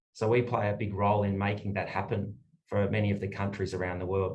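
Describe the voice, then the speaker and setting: A man speaks with an Australian accent at a fairly quick pace. His voice is fairly low and somewhat breathy, with audible room echo. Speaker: energy lawyer. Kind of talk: panel discussion.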